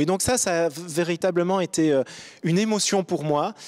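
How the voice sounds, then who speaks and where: A man speaks in a high pitch with fairly even intonation, and the sound is dry and close, with no echo. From Belgium, Brussels. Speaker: diplomat. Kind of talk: panel discussion. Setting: studio. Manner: halting.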